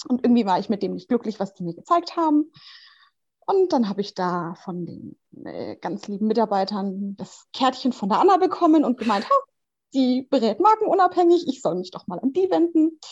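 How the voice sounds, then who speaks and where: Against a quiet background, a woman with a fairly high voice speaks at a moderate pace, her pitch swinging very widely and her loudness varying a lot. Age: 20s. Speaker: mother of two, interview guest. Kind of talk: casual interview.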